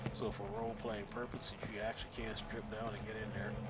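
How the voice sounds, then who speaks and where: A man's voice over loud music in the background. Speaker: gamer. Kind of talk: casual gameplay walkthrough narration.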